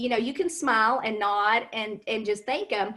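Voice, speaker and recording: A woman speaks with a Kentucky accent. Her pitch varies in an ordinary way. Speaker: cosmetics sales consultant. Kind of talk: interview on a live stream.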